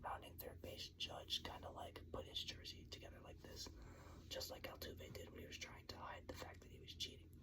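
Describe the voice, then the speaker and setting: A man whispers at a fairly quick pace with an American accent over noticeable background noise. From New York. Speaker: ASMR sports channel host. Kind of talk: whispered ASMR ramble about sports venues. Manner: whispered, casual, conversational.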